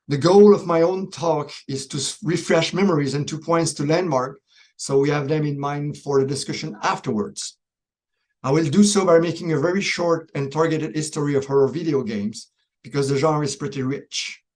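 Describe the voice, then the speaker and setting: Speaking with a Quebec accent at a moderate pace, a man uses a fairly high pitch with ordinary pitch variation. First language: French. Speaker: professor. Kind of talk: pre-recorded presentation.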